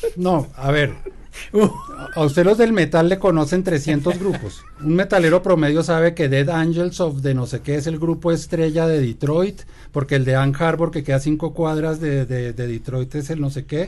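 A man with an ordinary speaking voice, fairly high in pitch, at a moderate pace with ordinary pitch variation. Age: 60s. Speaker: podcast co-host and magazine journalist. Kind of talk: casual chat.

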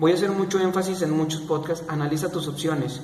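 A man with a fairly high voice is heard through noticeable background noise and audible room echo. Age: 20s. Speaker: podcaster. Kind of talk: solo monologue podcast. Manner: halting, with fillers.

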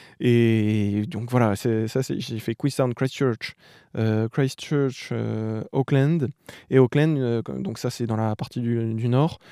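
On a very clean recording with a silent background and a dry, close sound with no echo, a man speaks very slowly at medium pitch, with a dark, mellow tone and ordinary pitch variation. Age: 20s. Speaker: journalism student, former working-holiday traveller. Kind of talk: interview, casual travel story. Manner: hesitant, many filler sounds.

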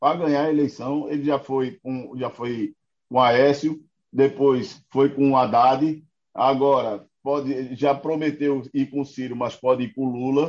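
Here a man speaks in a plain, everyday voice. His fairly high pitch moves at a fairly slow pace with fairly even intonation. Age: 50s. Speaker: political commentator. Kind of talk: casual political chat.

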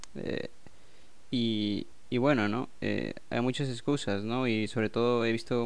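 With fairly even intonation, a man talks at a medium pitch while audible room echo hangs around his voice. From Peru. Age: 20s. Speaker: podcast host, self-taught game designer. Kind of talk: casual chat.

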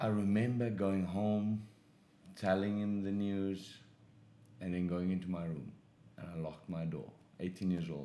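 A man with a very deep, low pitch and a dark, mellow tone speaks fairly slowly, with long, frequent pauses. His intonation is fairly even, and there is audible room echo. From South Africa. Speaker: professional boxer. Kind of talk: testimony.

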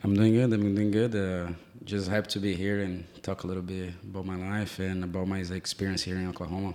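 A man speaks at a very deep, low pitch in a dark, mellow tone. His intonation is monotone and flat. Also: fairly quick pace. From Brazil, Sao Paulo. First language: Portuguese. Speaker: soccer coach. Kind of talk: casual interview. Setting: in-person recording in an office.

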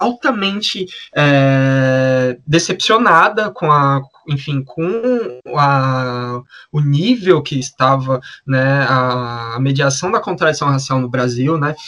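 Delivered at a very slow pace, the speech has a bright, sharp tone and ordinary pitch variation. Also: man, fairly high pitch for a man. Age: 20s. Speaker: podcast co-host. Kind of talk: podcast discussion.

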